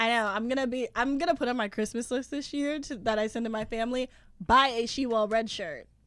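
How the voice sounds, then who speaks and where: In a very clean recording with a silent background, a loud woman with a high pitch talks at a fairly quick pace and fairly even intonation. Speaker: podcast co-host. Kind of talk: casual chat. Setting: podcast recording with headphones.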